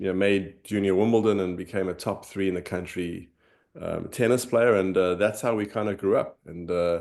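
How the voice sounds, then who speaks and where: Against a quiet background, the speaker talks fairly quickly in a South African accent with monotone, flat intonation. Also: man. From South Africa, Johannesburg. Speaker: former tennis pro, finance executive. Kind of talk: interview, personal story.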